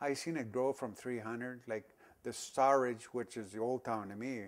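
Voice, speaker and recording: A man with an Alberta accent, medium in pitch, at a moderate pace. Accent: Canadian prairie, rural northern Alberta. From northern Alberta, Canada. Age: 60s. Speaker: local senior sharing town history. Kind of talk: oral history interview. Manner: halting, many fillers and restarts.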